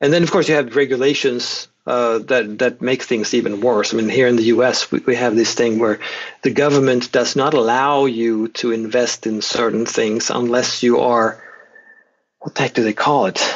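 This man's pitch sits in the medium range. He talks at a moderate pace with fairly even intonation. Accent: Swedish. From Sweden. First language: Swedish. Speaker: economics professor. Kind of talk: interview. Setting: remote call.

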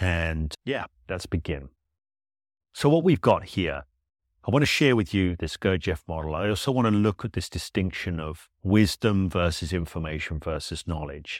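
Recorded very cleanly over a silent background with a dry, close sound and no echo, a man with a very deep, low voice speaks at a moderate pace with lively intonation. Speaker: solo podcast host. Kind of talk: solo educational monologue. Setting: podcast recording.

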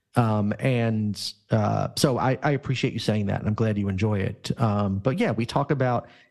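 A plain, everyday voice from a man at medium pitch, moderate pace and ordinary pitch variation, over a quiet background. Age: 50s. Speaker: employment lawyer. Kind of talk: casual interview.

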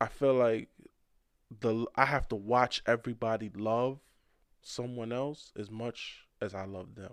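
A man talks at a fairly slow pace in an unremarkable speaking voice, pitched medium. His intonation is fairly even, and the background is quiet. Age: 30s. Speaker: rapper. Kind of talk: casual chat.

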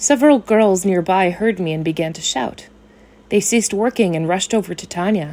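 With ordinary pitch variation, a speaker reads aloud in a natural voice.

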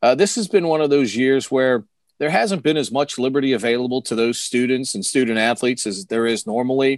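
With an American accent, a man with a plain, everyday voice talks at a medium pitch and a fairly quick pace, with ordinary pitch variation, over a quiet background. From Washington DC area, Maryland. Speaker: sports radio broadcaster. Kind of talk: casual interview. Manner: fluent, with frequent filler words.

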